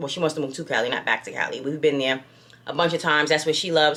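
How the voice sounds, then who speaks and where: With an American accent, a woman talks at a very fast pace in a very deep, low pitch and an animated tone, over noticeable background noise. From New York. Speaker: lifestyle vlogger. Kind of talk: casual chat.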